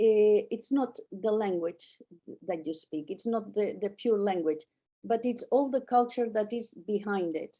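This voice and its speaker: A woman with a Catalan accent, fairly high in pitch, with a dark, mellow tone and a fairly slow pace. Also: ordinary pitch variation. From Catalonia, Spain (childhood partly in Netherlands). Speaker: artist and painting holiday organizer. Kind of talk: interview conversation. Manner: halting, with frequent repetitions.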